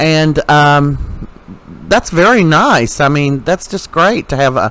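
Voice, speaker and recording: Talking at a very slow pace, a man with a fairly high pitch has a bright, sharp tone. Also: lively intonation. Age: 60s. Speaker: commentary YouTuber. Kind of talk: opinion commentary. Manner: animated; halting.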